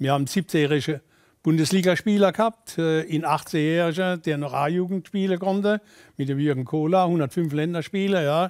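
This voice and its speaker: Against a quiet background, the speaker talks in a Kurpfalz accent at a fairly quick pace with ordinary pitch variation. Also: man, high pitch for a man. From Kurpfalz, Germany. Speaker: former football coach. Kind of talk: interview answer. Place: studio.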